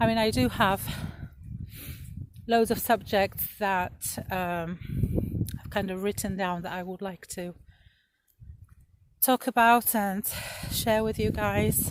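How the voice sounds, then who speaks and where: A woman's medium-pitched voice with a slight Polish accent, very slow pace, long and frequent pauses, ordinary pitch variation, and big swings in loudness. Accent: slight Polish accent, in her own words. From Poland. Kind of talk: casual vlog talk to camera. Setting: outdoors in a field. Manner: chatty, with fillers.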